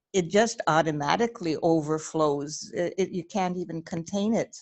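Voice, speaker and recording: A woman speaks with ordinary pitch variation. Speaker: interview guest. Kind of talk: casual chat. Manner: shaky.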